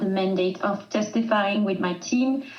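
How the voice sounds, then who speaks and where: A woman with a French accent speaks at medium pitch. Room echo is audible, and background noise is noticeable. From southern France. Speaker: rescue charity communications manager. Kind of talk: podcast interview. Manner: halting.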